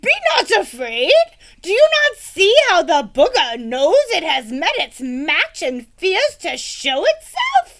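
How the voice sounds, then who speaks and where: In a put-on character voice, a woman projects at an extremely high pitch with very wide pitch swings, speaking fairly slowly. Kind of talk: archaic chivalric speech. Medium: read story. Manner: grand, earnest.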